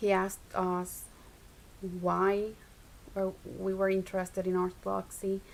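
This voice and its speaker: Fairly slow, monotone speech from a woman with a Spanish accent, broken by long, frequent pauses and flat intonation. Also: medium pitch for a woman. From Puerto Rico. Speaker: Orthodox convert. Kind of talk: testimony.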